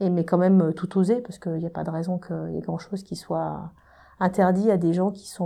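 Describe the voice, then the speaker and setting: Her voice is fairly low, with a dark, mellow tone. The woman keeps a moderate pace and fairly even intonation. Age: 40s. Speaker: engineer and energy company executive. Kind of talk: interview. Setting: in person. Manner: hesitant, many fillers.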